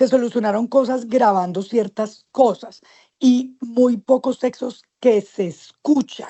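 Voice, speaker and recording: Speaking at a very slow pace, a woman uses a high pitch. Her intonation stays fairly even. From Colombia. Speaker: stage and screen actress. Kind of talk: interview.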